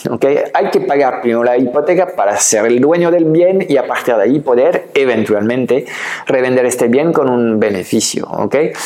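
A man talks at a medium pitch amid noticeable background noise. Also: ordinary pitch variation, moderate pace. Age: 50s. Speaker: online business coach. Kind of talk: educational video talk. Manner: hesitant with filler sounds.

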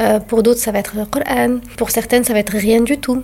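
Against noticeable background noise, a woman talks at a fairly high pitch with fairly even intonation. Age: 40s. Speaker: doula. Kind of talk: interview. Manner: calm.

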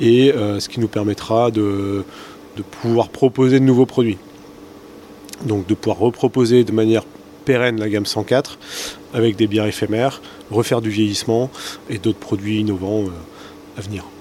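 Moderate pacing from a man with a fairly low pitch, fairly even intonation, long, frequent pauses, and noticeable background noise. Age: 30s. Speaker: brewery owner. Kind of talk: interview. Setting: at the brewery. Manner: hesitant, many repeated words.

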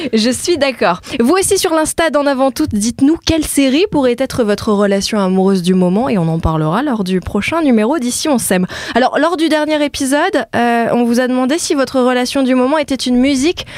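Fairly quick and with hardly any pauses, a woman talks in a high voice with very wide pitch swings and very even loudness over noticeable background noise. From France, Indonesian-French family. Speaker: journalist and podcast host. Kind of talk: casual chat.

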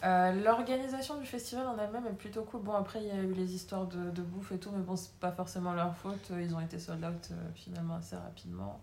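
A woman talks very fast at a medium pitch with ordinary pitch variation. Room echo is audible, and background noise is noticeable. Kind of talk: casual chat.

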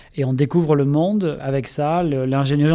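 This man's voice has a dark, mellow tone. He is the only speaker. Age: 40s. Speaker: engineer. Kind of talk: interview. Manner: hesitant with filler sounds.

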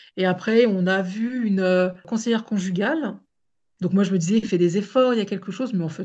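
Against a quiet background, a woman with an unremarkable speaking voice talks at a medium pitch. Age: 40s. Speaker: domestic violence survivor and advocate. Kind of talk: testimony.

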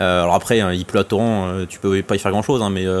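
Noticeable background noise sits behind a man's voice. He has a fairly low pitch and fairly even intonation. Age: 20s. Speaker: airsoft website co-founder. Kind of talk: casual chat.

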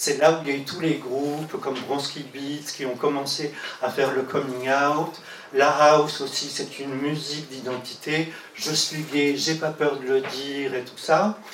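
With noticeable background noise and audible room echo, a man speaks in a monotone, flat intonation at a fairly high pitch. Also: fairly slow pace. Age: 60s. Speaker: music journalist and activist. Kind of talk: testimony. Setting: LGBT community centre.

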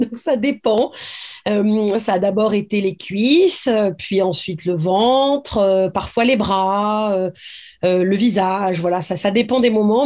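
A woman with a dark, mellow tone speaks at a medium pitch and varies it in an ordinary way. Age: 40s. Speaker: novelist. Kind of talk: interview.

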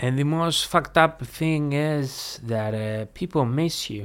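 A man speaks with a Greek accent. His pitch variation is ordinary. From Greece. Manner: halting.

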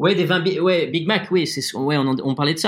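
Speaking at a moderate pace, a man has a fairly high pitch. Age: 30s. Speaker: wine estate owner. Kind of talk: interview. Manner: halting.

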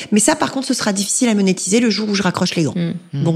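Against noticeable background noise, a woman talks at a very fast pace with lively intonation. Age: 40s. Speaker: executive recruiter and podcaster. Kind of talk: interview.

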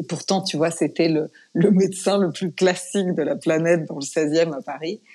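Her dark, mellow tone sits at a fairly low pitch as this woman speaks at a moderate pace with ordinary pitch variation. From France. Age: 40s. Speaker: yoga teacher. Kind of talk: interview conversation; guided breathing exercise.

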